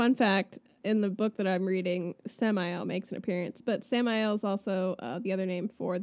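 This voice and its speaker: A woman has a plain, everyday voice and speaks with an American accent at a moderate pace. Her pitch is medium, with ordinary pitch variation. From Florida. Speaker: podcast co-host. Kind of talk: storytelling; casual chat.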